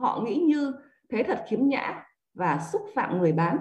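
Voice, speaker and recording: A woman with a high pitch and a dark, mellow tone speaks at a fairly slow pace, her pitch swinging very widely. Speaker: book club reader. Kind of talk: reading aloud.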